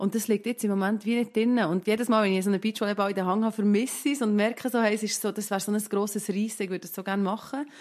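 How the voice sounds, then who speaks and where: A woman with a Swiss accent at a very fast pace, hardly any pauses, medium pitch and fairly even intonation, over a quiet background. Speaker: mother of four. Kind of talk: casual chat.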